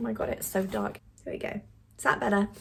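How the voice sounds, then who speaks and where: A woman with a British accent at medium pitch. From UK. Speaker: film review vlogger. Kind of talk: casual vlog review. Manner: animated.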